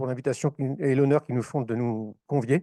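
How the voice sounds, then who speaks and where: A man's medium-pitched voice with a northern French accent, dark and mellow in tone, fairly even in intonation, at a moderate pace, with a dry, close sound, no echo and a quiet background. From northern France, Oise (Compiègne). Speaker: former firefighter, association speaker. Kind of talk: conference talk. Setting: conference hall with audience.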